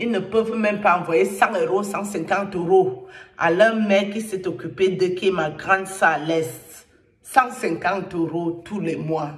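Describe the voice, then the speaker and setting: Amid noticeable background noise and audible room echo, a woman with a Cameroonian accent speaks at a fairly slow pace and medium pitch with ordinary variation. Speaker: online commentator. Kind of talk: angry rant to camera. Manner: animated.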